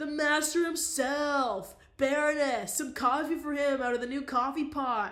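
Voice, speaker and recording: A high-pitched, put-on character voice moves at a moderate pace with hardly any pauses. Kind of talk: casual, slangy, jocular. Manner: exuberant, hearty.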